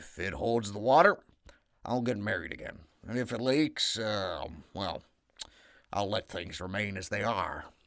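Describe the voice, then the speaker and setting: A man's raspy, put-on character voice at a fairly low pitch, moderate pace and long, frequent pauses. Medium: read story. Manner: hesitant, drawling with fillers.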